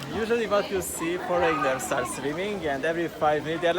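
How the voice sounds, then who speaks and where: Someone talks at a moderate pace with a Hungarian accent while crowd noise fills the background. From Hungary. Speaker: tourist. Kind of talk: casual chat. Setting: outdoors at a hot spring water park. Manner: halting.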